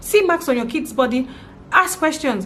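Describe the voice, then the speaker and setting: With a Nigerian accent, a woman speaks at a high pitch with lively intonation against noticeable background noise. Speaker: vlogger, parent. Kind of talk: personal vlog testimony. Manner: fast; halting, repeats words.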